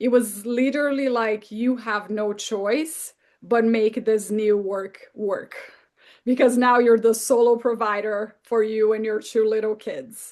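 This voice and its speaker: A woman with a Brazilian Portuguese accent speaks at a fairly slow pace in a fairly high pitch, her intonation fairly even over a quiet background. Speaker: therapist and author. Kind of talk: interview.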